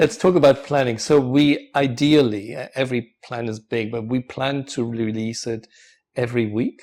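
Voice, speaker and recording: A man with a German accent speaks at a medium pitch with fairly even intonation. The recording is very clean, and the background is silent. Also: moderate pace. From Germany. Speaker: professor. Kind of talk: casual chat.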